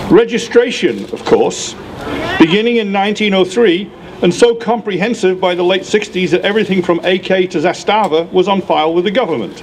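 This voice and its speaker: Speaking with a British accent, a man with a high pitch keeps a moderate pace and ordinary pitch variation over light background noise. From United Kingdom. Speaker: gun rights activist. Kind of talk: rally speech. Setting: outdoor rally with crowd. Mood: earnest, sardonic. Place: street. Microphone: podium.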